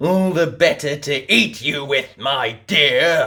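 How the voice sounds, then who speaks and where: A man does a put-on character voice with a growl. It sits fairly high in pitch and moves at a fairly slow pace. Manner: snarling.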